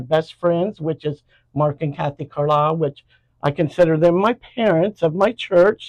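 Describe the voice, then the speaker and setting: In an American accent, the speaker talks at a moderate pace with ordinary pitch variation, the sound dry and close with no echo. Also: woman. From southern Ohio, US (Jackson). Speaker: church member, retired bookkeeper. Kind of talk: interview.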